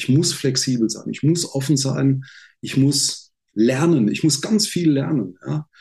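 The voice is dark, mellow and somewhat breathy. It moves at a fairly slow pace with ordinary pitch variation. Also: man. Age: 60s. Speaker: sales trainer. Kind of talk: casual interview. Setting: video call. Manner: animated.

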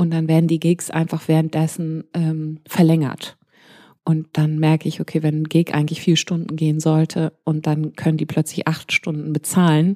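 A woman's very deep, low-pitched voice with a dark, mellow tone, monotone and flat at a moderate pace, in a dry, close sound with no echo. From grew up abroad: Pakistan, India, Malaysia. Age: 40s. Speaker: DJ. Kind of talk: interview.

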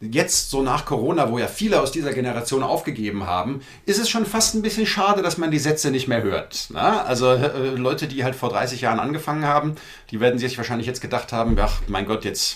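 A man's pitch swings very widely. He talks at a fairly quick pace. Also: medium pitch for a man. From Frankfurt am Main, Hesse. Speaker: cabaret artist and author. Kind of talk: casual interview chat.

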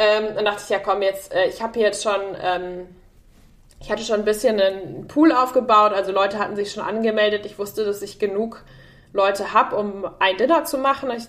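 At a fairly quick pace, a woman talks in an unremarkable speaking voice with ordinary pitch variation. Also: medium pitch for a woman. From Germany, Münster area. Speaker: tech executive. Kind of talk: interview.

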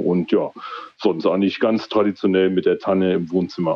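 Against noticeable background noise, a man talks at a fairly low pitch with monotone, flat intonation. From East Frisia, northern Germany. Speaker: guest with a home building project. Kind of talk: casual chat. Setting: phone call.

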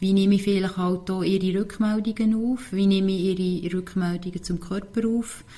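Somewhat breathy and dark, mellow in tone, a woman with a Swiss accent talks at a moderate pace. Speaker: marathon runner. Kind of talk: interview. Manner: halting.

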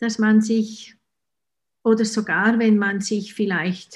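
A woman speaks at a very slow pace in a Swiss German accent. Her voice is somewhat breathy, against a quiet background. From Switzerland. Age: 50s. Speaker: author and hypnotherapist. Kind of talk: casual interview.

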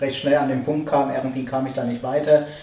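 Amid noticeable background noise and audible room echo, a man speaks at a medium pitch in a monotone, flat intonation. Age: 30s. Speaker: guitar course student. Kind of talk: casual group conversation. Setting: music school room.

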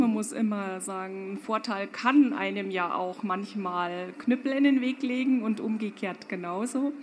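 Her medium-pitched voice carries lively intonation. Audible room echo and noticeable background noise surround the woman's speech. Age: 50s. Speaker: fashion company owner. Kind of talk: panel discussion. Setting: stage with audience.

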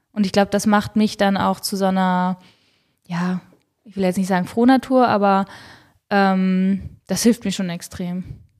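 On a very clean recording with a silent background, a woman of medium pitch speaks fairly slowly and fairly evenly, with long, frequent pauses. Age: 30s. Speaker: professional triathlete and doctor. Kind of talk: casual interview chat. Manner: hesitant, many filler sounds.

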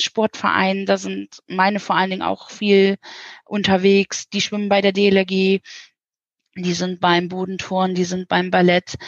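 This woman talks at a moderate speed. Her pitch sits at a medium level. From northern Germany. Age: 40s. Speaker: children's village house mother. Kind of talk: interview. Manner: warm.

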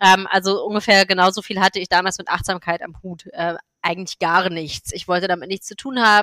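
A woman speaks at a medium pitch with a bright, sharp tone and fairly even intonation, her loudness swinging widely. The pace is fairly quick, and the sound is dry and close with no echo. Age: 30s. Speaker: MS blogger and yoga teacher. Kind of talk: interview.

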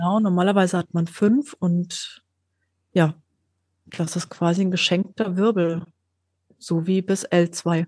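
Against a quiet background with a dry, close sound and no echo, a woman speaks at a very slow pace in a fairly low pitch with fairly even intonation and long, frequent pauses. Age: 40s. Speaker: scoliosis patient sharing her story. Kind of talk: interview, personal story.

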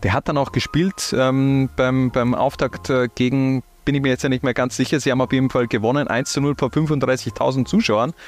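Against a quiet background, a man speaks in an ordinary speaking voice, medium in pitch, at a moderate pace with fairly even intonation and very even loudness. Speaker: football podcast host. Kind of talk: casual chat.

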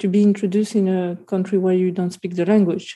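In a very clean recording with a silent background, a woman with a dark, mellow tone speaks at medium pitch in a flat, monotone way. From Colombia. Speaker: artist and photographer. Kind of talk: interview.

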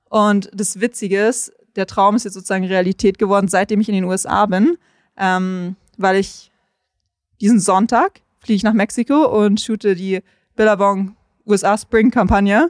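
At a medium pitch and a moderate pace, a woman speaks with fairly even intonation and long, frequent pauses. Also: dry, close sound with no echo, very clean recording, silent background. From Munich, Germany. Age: 20s. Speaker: content creator and surfer. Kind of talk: casual interview. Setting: on location by the coast highway.

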